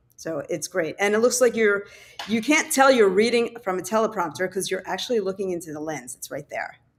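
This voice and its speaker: A normal speaking voice with an American accent, lively intonation, big swings in loudness and a fairly quick pace. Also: woman, medium pitch for a woman. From Philadelphia. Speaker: webinar host. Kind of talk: webinar workshop.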